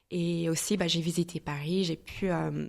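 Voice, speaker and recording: A fairly low-pitched woman with an American accent, at a very slow pace. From US Midwest, St. Louis, Missouri. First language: English (speaking French). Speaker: entrepreneur and mastermind founder. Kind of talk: podcast interview. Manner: hesitant, many filler sounds.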